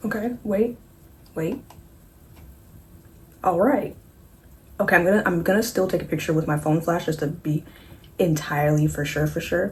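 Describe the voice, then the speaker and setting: Long, frequent pauses in a somewhat breathy voice. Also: woman, fairly low pitch for a woman, ordinary pitch variation. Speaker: beauty vlogger. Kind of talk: makeup tutorial vlog. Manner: fast; animated.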